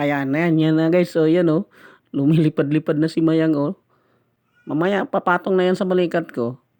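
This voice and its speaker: A man talks at a fairly high pitch and a moderate pace, with fairly even intonation and very even loudness. The recording is very clean, with a silent background and a dry, close sound with no echo. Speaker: food vlogger. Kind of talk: mukbang voice-over. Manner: halting.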